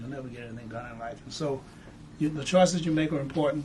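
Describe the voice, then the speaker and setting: Audible room echo follows a man talking at a very fast pace, his fairly high pitch showing ordinary variation. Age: 70s. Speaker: civil rights veteran and museum founder. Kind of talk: interview. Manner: halting, repeats words.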